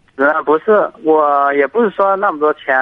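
A man's voice sits fairly high. Background music can be heard behind him. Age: 30s. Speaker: caller, factory worker making fur garments. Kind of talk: phone-in advice call. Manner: halting.

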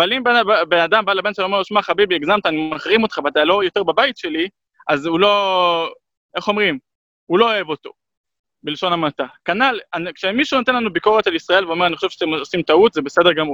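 The voice is raised and projected, with a bright, sharp tone. It moves at a very fast pace, broken by long, frequent pauses. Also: man, high pitch for a man, ordinary pitch variation, dry, close sound with no echo. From Israel, Jerusalem. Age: 30s. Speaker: human rights activist. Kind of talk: interview.

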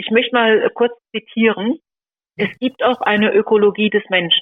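A woman's fairly high, plain, everyday voice at a moderate pace. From Sauerland, western Germany. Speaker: leader of a pro-life association. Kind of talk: interview.

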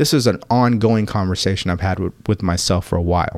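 The tone is intense with ordinary pitch variation. The pace is fairly quick. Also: man. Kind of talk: pep talk. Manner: intense, direct, motivational; animated, urging, blunt.

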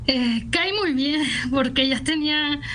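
There is audible room echo around this woman's high-pitched voice. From Guadalajara, Jalisco, Mexico. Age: 20s. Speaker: poet. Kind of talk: radio interview.

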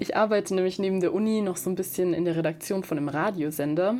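Talking very fast, a woman keeps a fairly low pitch and fairly even intonation. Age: 20s. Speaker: student podcaster. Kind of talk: podcast trailer monologue.

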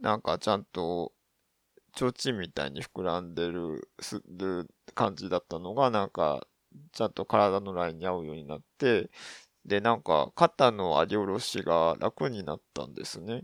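Recorded very cleanly against a silent background, with a dry, close sound and no echo, a man speaks in a very deep, low voice with ordinary pitch variation and big swings in loudness. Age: 30s. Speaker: podcast host. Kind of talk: casual solo monologue. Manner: halting, many fillers.

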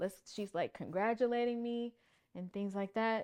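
Against a quiet background, a woman with an unremarkable speaking voice talks at a moderate pace. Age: 30s. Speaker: pageant titleholder and army HR worker. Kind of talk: casual interview, personal testimony.

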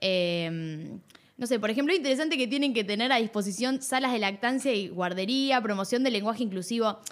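In a plain, everyday voice, a woman talks at a fairly quick pace and fairly high pitch, with lively intonation and very even loudness. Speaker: radio co-host. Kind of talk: casual chat.

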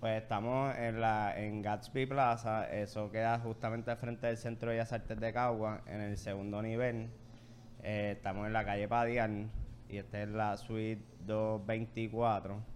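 A man talks at a fairly slow pace with a medium pitch and monotone, flat intonation. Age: 20s. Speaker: coffee shop co-owner. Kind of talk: casual interview.

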